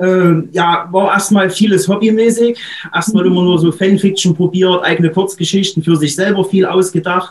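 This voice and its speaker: At a moderate pace, a man with an eastern German accent speaks in a high pitch, his intonation monotone and flat and his loudness very even. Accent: eastern German, audible. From Saxony-Anhalt, eastern Germany. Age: 30s. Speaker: author. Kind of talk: interview.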